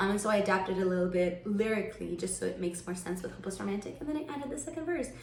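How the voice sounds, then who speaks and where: Over noticeable background noise and audible room echo, a woman talks at a very fast pace with lively intonation and hardly any pauses. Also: medium pitch for a woman. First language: not English. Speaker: singer-songwriter. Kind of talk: casual vlog talk. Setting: filming a vlog. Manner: animated.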